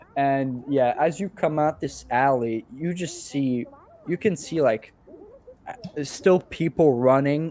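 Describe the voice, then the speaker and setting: The pace is fairly slow and the pitch variation ordinary, with noticeable background noise present. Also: man. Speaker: game master. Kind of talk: tabletop role-play narration.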